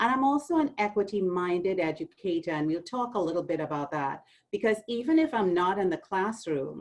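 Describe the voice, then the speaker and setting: With a Trinidadian accent, a woman talks at a fairly quick pace. Her pitch swings very widely. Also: medium pitch for a woman. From Trinidad and Tobago. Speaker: university administrator. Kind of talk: orientation talk.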